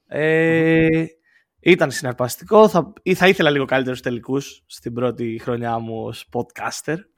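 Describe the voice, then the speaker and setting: Over a silent background in a very clean recording, a man with a plain, everyday voice speaks fairly slowly, his fairly high pitch moving in lively intonation. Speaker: guest co-host, basketball commentator. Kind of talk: casual chat.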